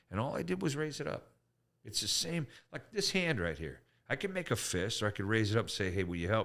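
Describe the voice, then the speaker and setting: Very wide pitch swings mark a man's medium-pitched voice, delivered at a very fast pace on a very clean recording with a silent background. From Canada. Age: 60s. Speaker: comedian. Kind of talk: casual chat. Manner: animated.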